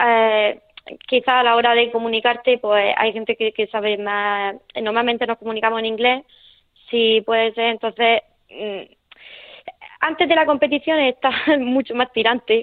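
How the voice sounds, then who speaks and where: In a Murcian accent, a woman with a fairly high pitch talks at a moderate pace with fairly even intonation and long, frequent pauses. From Murcia, Spain (Nonduermas). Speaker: para taekwondo athlete. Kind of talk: radio interview. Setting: phone call. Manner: halting.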